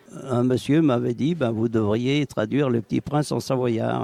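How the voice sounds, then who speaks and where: At a fairly slow pace, a man speaks at a medium pitch against noticeable background noise. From Savoy, France. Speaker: retired dialect author. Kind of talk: interview answer. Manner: hesitant.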